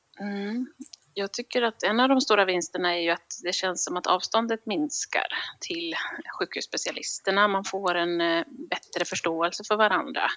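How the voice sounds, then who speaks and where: With a bright, sharp tone and a medium pitch, a woman speaks at a moderate pace and with ordinary pitch variation, in a dry, close sound with no echo. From Gotland (Visby). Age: 30s. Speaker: general practitioner. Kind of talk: casual interview.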